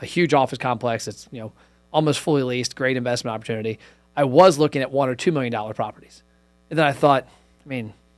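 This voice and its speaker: A man at a very fast pace, medium pitch, ordinary pitch variation, big swings in loudness, and music in the background. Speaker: podcast host. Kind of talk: casual conversation.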